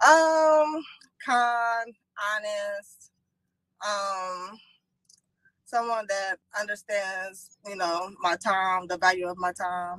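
A woman at medium pitch and a very slow pace, fairly bright in tone with ordinary pitch variation, in a dry, close sound with no echo

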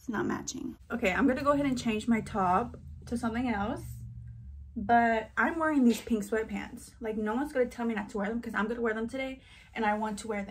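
A woman at a very fast pace with ordinary pitch variation. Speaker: vlogger. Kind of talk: casual vlog chat. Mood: playful, chatty. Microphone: phone near.

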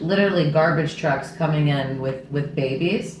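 A woman talks at a moderate pace in a very deep, low pitch with fairly even intonation. Light background noise and audible room echo are present. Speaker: podcast host. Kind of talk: casual interview talk. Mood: earnest, emotional. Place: kitchen.

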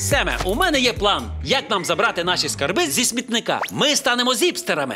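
A man performs a cartoonish character voice, high-pitched with a bright, sharp tone and very wide pitch swings. He talks at a fairly quick pace over faint music in the background.

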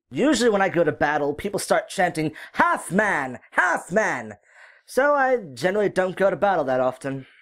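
A put-on character voice at a middle pitch moves at a moderate pace on a very clean recording with a silent background. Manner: dry, self-mocking.

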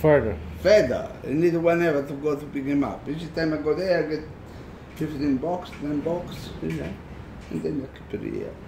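A man talks at a fairly slow pace with ordinary pitch variation. Light background noise and audible room echo are present. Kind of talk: casual explanation. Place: garage. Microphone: phone near.

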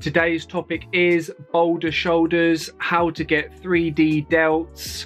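A man talks while music plays faintly behind him. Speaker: fitness coach. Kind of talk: casual vlog chat. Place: home room. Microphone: phone near.

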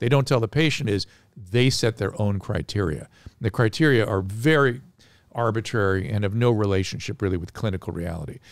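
A man at a moderate pace, dry sound with no echo, quiet background. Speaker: podcast guest. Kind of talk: interview answer. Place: studio. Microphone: studio mic.

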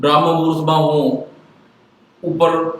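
A man speaks over noticeable background noise. Audible room echo surrounds his voice. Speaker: doctor and newspaper columnist. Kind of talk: personal monologue to viewers.

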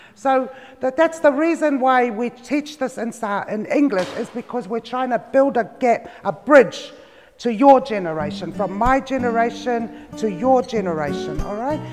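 Through light background noise, a man with an extremely high pitch speaks at a moderate pace with lively intonation. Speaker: cultural class teacher. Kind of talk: lecture. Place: hall. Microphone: lapel.

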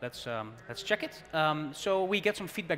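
With a Dutch accent, a man speaks in a fairly high pitch. His intonation is lively over light background noise. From Netherlands. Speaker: tech presenter; presenter. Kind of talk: live tech demo. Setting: conference stage with audience. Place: hall.

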